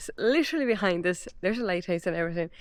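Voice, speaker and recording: A woman talks against a quiet background. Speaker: travel vlogger. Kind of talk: casual vlog narration. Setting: outdoors, abandoned army base.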